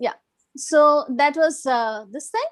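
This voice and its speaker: A woman speaks with a Gujarati accent. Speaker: restaurant owner and English teacher trainer. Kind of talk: self-introduction in online meeting.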